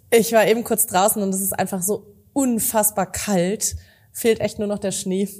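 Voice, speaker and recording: Somewhat breathy and dark, mellow in tone, a woman speaks at medium pitch with monotone, flat intonation. The recording is very clean, with a silent background. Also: moderate pace. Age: young. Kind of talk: scripted outro; casual interview.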